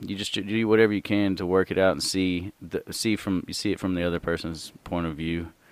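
In a Southern US accent, a man with a very deep, low pitch talks at a fairly quick pace with fairly even intonation on a very clean recording with a silent background. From US South. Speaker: comedian. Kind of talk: casual chat.

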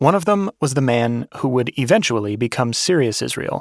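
Against a very clean recording with a silent background, a man with an ordinary speaking voice and medium pitch talks at a moderate pace with lively intonation. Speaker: podcast host and narrator. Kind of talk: scripted narration.

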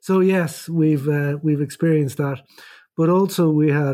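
A man's dark, mellow voice in an Irish accent, at a fairly slow pace. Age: 50s. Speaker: emergency doctor with Parkinson's. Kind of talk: casual chat. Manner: halting.

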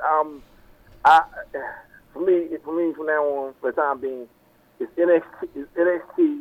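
A man talks at a fairly slow pace. His pitch is fairly high and his intonation fairly even.

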